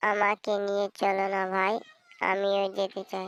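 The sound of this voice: In a cartoonish character voice, a female-sounding speaker talks at a fairly slow pace and a medium pitch.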